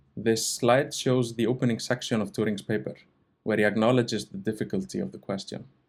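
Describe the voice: A man talks at a fairly quick pace with vocal fry. His pitch is fairly low and his intonation fairly even.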